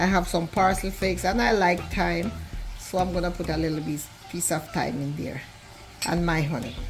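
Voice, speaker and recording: A woman's medium-pitched voice with ordinary pitch variation and music in the background. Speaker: home cook. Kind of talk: cooking video talk to camera. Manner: casual, warm.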